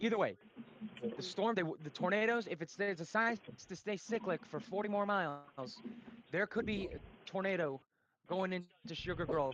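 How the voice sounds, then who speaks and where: In an American accent, a man with a high pitch sounds excited, using ordinary pitch variation and long, frequent pauses. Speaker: storm chaser and weather streamer. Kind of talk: live weather commentary. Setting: live stream. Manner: fast, excited; loud.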